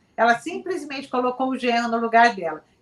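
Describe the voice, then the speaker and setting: This woman's pitch is fairly high. The tone comes across bright and sharp. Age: 60s. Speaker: psychologist. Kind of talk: TV talk show debate.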